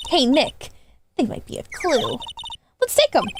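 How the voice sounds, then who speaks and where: In a put-on character voice pitched extremely high, a woman swings her pitch very widely while keeping a moderate pace. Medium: virtual streamer. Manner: bubbly, enthusiastic.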